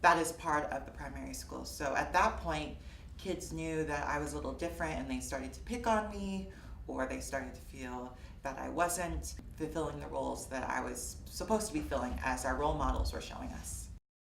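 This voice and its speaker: A woman with an American accent at a fairly quick pace, big swings in loudness, noticeable background noise and audible room echo. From US Midwest, Fort Wayne, Indiana. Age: 20s. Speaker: interviewee sharing personal story. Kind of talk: personal testimony interview. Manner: hesitant, many fillers.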